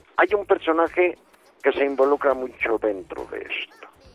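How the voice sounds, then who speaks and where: A man talks fairly slowly. Music can be heard behind him. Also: dry, close sound with no echo. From Mexico. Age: 70s. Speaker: actor and voice actor. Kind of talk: interview.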